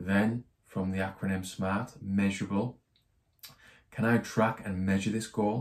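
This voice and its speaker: Speaking with a British accent, a man keeps a fairly low pitch, a fairly slow pace and fairly even intonation. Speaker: personal finance YouTuber. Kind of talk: tutorial. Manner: monotone.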